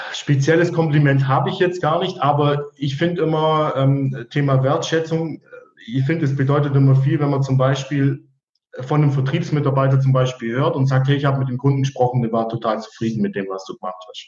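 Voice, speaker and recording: The man's pitch is fairly high, with ordinary variation. He speaks at a fairly quick pace, his voice somewhat breathy. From Allgäu, southern Germany. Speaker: service technician. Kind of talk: interview. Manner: hesitant, many fillers.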